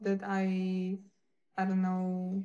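A woman talks at a very slow pace. Her tone is dark and mellow. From Ukraine. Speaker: live streamer. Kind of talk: casual live-stream chat with viewers. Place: home room. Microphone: phone near.

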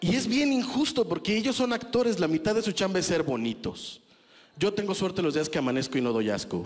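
A man's high voice, fairly quick, with very wide pitch swings. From Mexico. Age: 30s. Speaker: stand-up comedian. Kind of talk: stand-up comedy set, rude and self-deprecating, crowd-laughter punchlines. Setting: stage with audience. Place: stage. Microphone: handheld.

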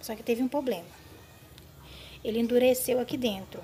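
There is light background noise as a woman speaks at a high pitch. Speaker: home cleaning tips vlogger. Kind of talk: tutorial. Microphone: phone near.

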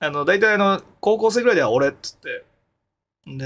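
The man's voice swings very widely in pitch as he talks. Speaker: live streamer. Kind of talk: casual stream chat. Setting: home soundproof room. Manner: rambling with many fillers. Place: home room. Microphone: studio mic.

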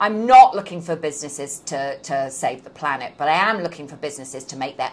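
In a British accent, a woman speaks at a moderate pace with ordinary pitch variation and light background noise. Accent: non-New York, British. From London, England. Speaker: business professor. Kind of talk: interview. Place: office. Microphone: lapel.

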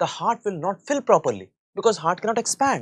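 A man at a fairly quick pace, his pitch swinging very widely, over a quiet background. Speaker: medical lecturer. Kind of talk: lecture.

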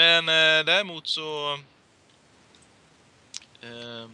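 A man's voice with a fairly high pitch and a bright, sharp tone that is clear and smooth.

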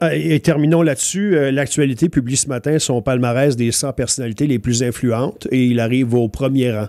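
Dry with no echo, a man's voice has a dark, mellow tone and ordinary pitch variation. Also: quiet background. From Quebec. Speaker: morning radio host. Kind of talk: casual radio chat. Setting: radio studio.

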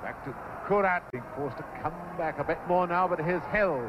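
The voice has an excited tone, with noticeable background noise behind it. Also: man. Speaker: match commentator. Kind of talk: vintage live football match commentary. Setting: archive broadcast recording of a 1966 match. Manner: excited, rising to a shout at goals.

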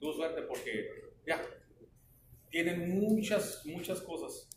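Speaking at a very slow pace with long, frequent pauses, a man is heard amid light background noise and audible room echo. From Mexico. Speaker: flagger safety instructor. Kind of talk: training class. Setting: classroom with trainees. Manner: conversational, asks the class questions. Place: classroom. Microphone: camera far.

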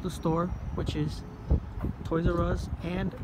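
A man is speaking. Loud background noise runs behind him. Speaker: explorer vlogger. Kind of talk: casual vlog commentary. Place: street. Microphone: phone near.

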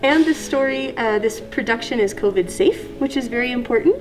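A woman speaks at a moderate pace with a high pitch. Light background noise is present. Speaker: theatre puppet show creator. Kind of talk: interview answer. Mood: cheerful, laughing. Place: meeting room.

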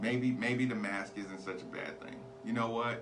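The speaker uses ordinary pitch variation, with noticeable background noise behind. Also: man. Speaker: podcast host. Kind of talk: opinion commentary monologue. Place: studio. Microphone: studio mic.

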